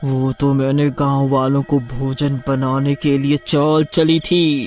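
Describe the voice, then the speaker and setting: Over clear music in the background, a man in a cartoonish character voice speaks with a menacing tone, a fairly high pitch, monotone, flat intonation and a fairly slow pace. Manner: menacing, gloating.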